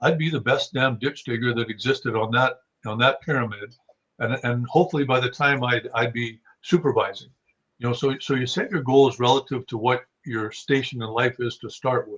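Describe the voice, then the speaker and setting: A man with a western Canadian accent talks fairly quickly at a medium pitch with fairly even intonation. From Saskatchewan, Canada. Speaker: hunting guide and writer. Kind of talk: podcast interview. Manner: halting, many repeated words.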